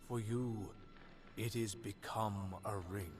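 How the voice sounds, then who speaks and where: Over clear background noise, a man uses a put-on character voice at a fairly low pitch and a very slow pace. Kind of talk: archaic, elevated speech. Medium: video game. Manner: solemn, measured.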